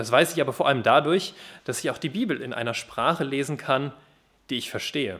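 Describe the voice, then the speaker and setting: This man talks at a fairly quick pace with a normal speaking voice and fairly high pitch. His pitch varies in an ordinary way, and the recording is very clean with a silent background. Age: 20s. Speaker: youth worker at a Bible translation organisation, guest preacher. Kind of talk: sermon.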